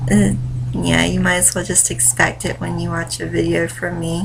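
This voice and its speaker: A woman at a fairly slow pace, with audible room echo and noticeable background noise. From US South, North Carolina. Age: 20s. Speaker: vlogger, stay-at-home mom and writer. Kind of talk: casual vlog monologue. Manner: rambling, many fillers.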